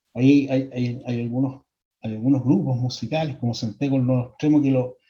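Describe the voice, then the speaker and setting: A flat, monotone delivery at a fairly quick pace, somewhat breathy, with a dark, mellow tone. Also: man, medium pitch for a man. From Chile. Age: 60s. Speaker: psychologist. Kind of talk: lecture. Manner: halting, many repetitions and fillers.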